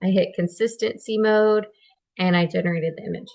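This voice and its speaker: A woman at a moderate pace. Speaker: tutorial creator. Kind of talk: tutorial. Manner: casual, with fillers.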